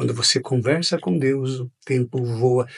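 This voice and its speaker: Against a quiet background, a man speaks at a medium pitch. His voice is somewhat breathy and monotone, with flat intonation. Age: 50s. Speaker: pastor. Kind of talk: interview.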